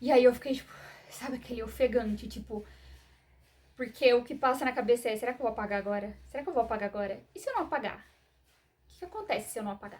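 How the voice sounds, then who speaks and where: A high-pitched woman talks very fast between long, frequent pauses, her loudness swinging widely and her pitch varying in an ordinary way. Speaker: vlogger sharing personal medical story. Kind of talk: personal testimony to camera. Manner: soft-spoken; hesitant, many fillers.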